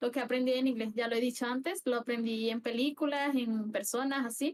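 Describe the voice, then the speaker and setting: This woman has a high-pitched voice. She speaks at a moderate pace. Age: 20s. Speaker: streamer. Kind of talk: interview. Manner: halting.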